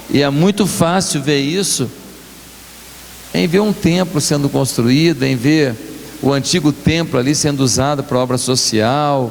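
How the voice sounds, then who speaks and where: With audible room echo and noticeable background noise, a man talks at a fairly slow pace, his fairly high pitch showing ordinary variation. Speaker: guest pastor. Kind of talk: sermon. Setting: church.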